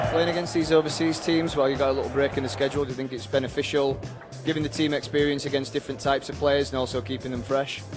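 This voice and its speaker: Music plays behind a man who talks at a very fast pace with a fairly high pitch. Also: ordinary pitch variation. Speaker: sports broadcaster. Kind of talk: post-match interview questions.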